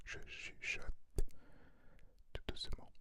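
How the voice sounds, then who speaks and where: A man whispers at a fairly slow pace. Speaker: ASMR artist. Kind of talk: ASMR whisper to viewer for sleep. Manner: whispered, soft.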